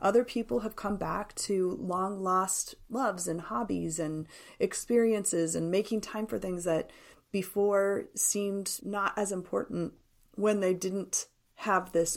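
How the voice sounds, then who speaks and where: A woman speaks at medium pitch and a fairly slow pace, with ordinary pitch variation, in an unremarkable speaking voice. The recording is very clean, with a silent background. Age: 50s. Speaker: grief support nonprofit leader and speaker. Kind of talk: casual interview.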